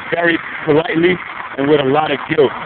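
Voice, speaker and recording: Noticeable background noise sits behind speech that keeps a moderate pace and fairly level intonation. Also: man. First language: Brazilian Portuguese. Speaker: vlogger. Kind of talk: casual vlog monologue.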